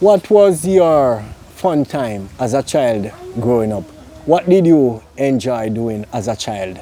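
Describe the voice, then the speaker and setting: Over music in the background, a man with a Jamaican accent talks at a very slow pace, his medium pitch making very wide swings. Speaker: interviewer. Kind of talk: interview.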